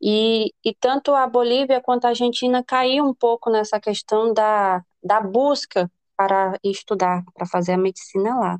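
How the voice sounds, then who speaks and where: A woman's plain, everyday voice, fairly slow, with ordinary pitch variation and a dry, close sound with no echo. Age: 20s. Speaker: business administrator and future medical student. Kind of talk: casual interview.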